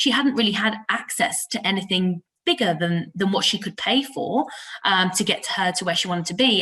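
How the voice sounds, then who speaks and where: This is a woman speaking. Her pitch sits at a medium level. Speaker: IT talent acquisition consultant. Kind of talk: podcast interview. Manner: loud; animated.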